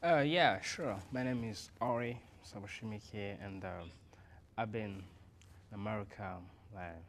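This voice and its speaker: In a room with audible echo, a man with a fairly low voice speaks fairly slowly, with long, frequent pauses and big swings in loudness. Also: ordinary pitch variation. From Burundi, Bujumbura. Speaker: interview guest, immigrant. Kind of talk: interview. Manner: halting, many fillers.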